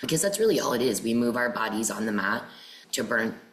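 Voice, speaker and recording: A woman's very deep, low voice with an American accent, fairly quick and fairly even in intonation, with audible room echo and noticeable background noise. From New Hampshire, US. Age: 40s. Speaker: yoga teacher. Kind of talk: podcast interview.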